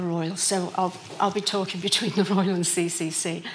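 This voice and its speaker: A woman with a medium pitch talks at a fairly quick pace in a monotone, flat intonation, with noticeable background noise behind her. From Liverpool, England. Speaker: patient. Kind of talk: patient testimony talk.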